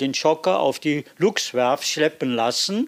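A man's very slow pace with lively intonation. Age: 80s+. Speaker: museum tour guide, fishing brotherhood member. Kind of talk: guided tour.

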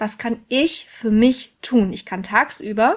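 A woman with an unremarkable speaking voice talks at a medium pitch with ordinary pitch variation on a very clean recording with a silent background. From Ruhr area, Germany. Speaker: mental load expert and trainer. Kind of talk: casual interview chat.

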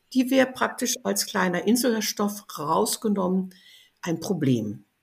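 A woman with a medium pitch and vocal fry talks at a fairly slow pace with lively intonation, recorded very cleanly against a silent background. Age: 80s+. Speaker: biologist and aromatherapy author. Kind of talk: interview conversation.

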